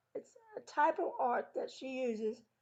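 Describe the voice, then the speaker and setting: Lively intonation and a dark, mellow tone in an American accent. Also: woman. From New York City, then US South. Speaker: podcast host. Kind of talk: interview podcast.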